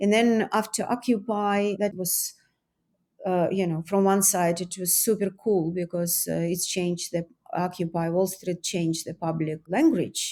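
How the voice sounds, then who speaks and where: A woman's medium-pitched, dark and mellow voice with a non-native accent and fairly even intonation, in a very clean recording with a silent background. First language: not English. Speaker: artist and author. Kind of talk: interview. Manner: halting.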